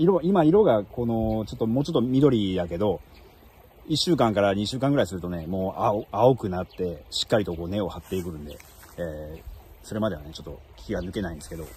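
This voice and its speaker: Very fast and fairly low-pitched, a man's voice moves through very wide pitch swings and big swings in loudness. The sound is dry, with no echo. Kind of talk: casual vlog chat. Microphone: phone near.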